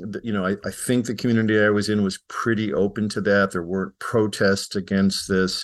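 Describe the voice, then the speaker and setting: Here is a man with a normal speaking voice. His pitch is fairly low, and the background is quiet. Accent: American. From US Midwest (Chicago). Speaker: psychology professor. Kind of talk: interview.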